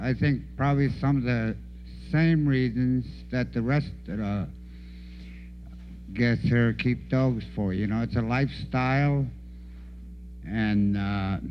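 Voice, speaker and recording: A man at a very slow pace, with long, frequent pauses and audible room echo. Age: 70s. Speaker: veteran dog musher. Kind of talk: casual talk at a conference.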